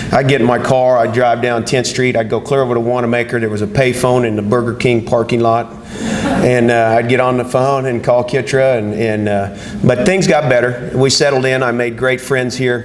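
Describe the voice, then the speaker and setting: A man with an American accent talks at medium pitch with hardly any pauses. Audible room echo and noticeable background noise surround him. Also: fairly even intonation, moderate pace. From Southwest Kansas. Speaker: Hall of Fame inductee, former college football player. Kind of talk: acceptance speech. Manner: halting, many fillers and repetitions.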